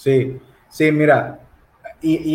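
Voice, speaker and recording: This man's voice is somewhat breathy and sits fairly high in pitch. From Mexico, Monterrey, Nuevo León. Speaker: lay theology enthusiast, Reformed Baptist. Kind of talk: casual theological conversation. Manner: halting, repeats words.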